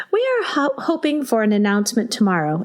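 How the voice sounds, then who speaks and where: A woman with a Midwestern accent speaks at a fairly quick pace and a fairly high pitch. There is noticeable background noise. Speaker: school librarian and podcast host. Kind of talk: podcast intro, reading listener mail.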